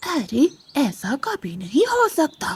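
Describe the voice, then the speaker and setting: This female-sounding voice is a cartoonish character voice with a high pitch. Its pitch swings very widely. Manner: boastful, threatening.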